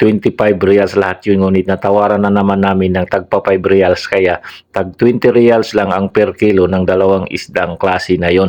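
The man's pace is moderate. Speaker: vlogger, overseas Filipino worker. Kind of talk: vlog narration. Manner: stumbling over words.

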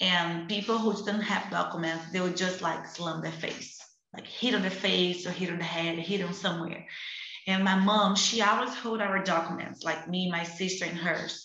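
Over light background noise and audible room echo, a woman speaks in a Portuguese accent. Her pace is moderate and her intonation fairly even. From Brazil, Rio de Janeiro favela. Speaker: activist; panelist. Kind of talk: online panel discussion. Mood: earnest, passionate. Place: home room. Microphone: video call.

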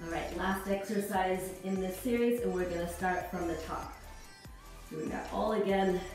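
A woman's moderate-paced speech with fairly even intonation, in a strong room echo with faint music in the background. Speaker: fitness instructor. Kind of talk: workout instruction cueing. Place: home room.

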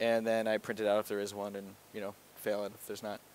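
A man talks at a very fast pace in a dry sound with no echo. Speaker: presenter. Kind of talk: lecture. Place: hall. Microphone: headset.

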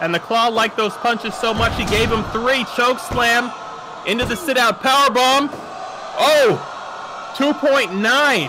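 Amid noticeable background noise, a man with an extremely high pitch speaks very slowly with ordinary pitch variation. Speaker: wrestling commentator. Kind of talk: live wrestling commentary. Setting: in the commentary booth.

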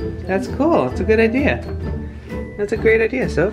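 Clear music plays in the background while the speaker goes at a moderate pace. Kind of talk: casual vlog chat. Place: home room. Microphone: phone near.

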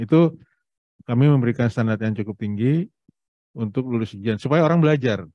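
A plain, everyday voice at a fairly quick pace, with ordinary pitch variation, dry sound with no echo and a quiet background. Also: man. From Indonesia. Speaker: presenter and platform CEO; presenter. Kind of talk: presentation to an audience. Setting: hybrid event with Zoom participants. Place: hall. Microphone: handheld.

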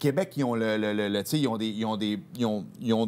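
A man at medium pitch, talking at a fairly quick pace. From Quebec. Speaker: sports TV host. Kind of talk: casual chat. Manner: animated. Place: studio.

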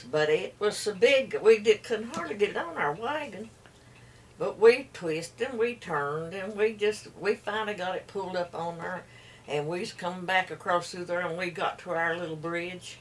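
Over light background noise, a woman with an Appalachian accent talks at a moderate pace with ordinary pitch variation and big swings in loudness. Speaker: storyteller. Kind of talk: folk storytelling. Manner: rambling, hesitant. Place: home room. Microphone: camera far.

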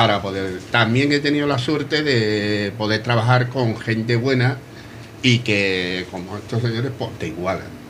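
Fairly slow speech from a man with ordinary pitch variation and light background noise. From Cádiz, Spain; Spain. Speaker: guest, brotherhood member; radio guest. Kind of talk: interview answer. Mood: warm, nostalgic. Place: bar. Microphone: studio mic.

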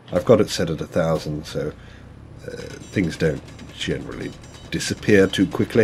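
A man's very deep, low voice at a moderate pace, with ordinary pitch variation, long, frequent pauses and noticeable background noise. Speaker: gaming youtuber and comedian. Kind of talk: casual gameplay commentary. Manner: halting, rambling with many fillers; casual, self-deprecating.

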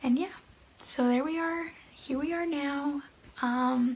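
Fairly slow delivery with ordinary pitch variation. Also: woman. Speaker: vlogger. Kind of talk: casual vlog chat. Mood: calm, matter-of-fact storytelling. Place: home room. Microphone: phone near.

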